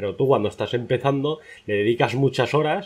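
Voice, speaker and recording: Fairly quick, lively intonation with vocal fry, over a quiet background. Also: man. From Spain. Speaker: youtuber, interviewer. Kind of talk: interview. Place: home room.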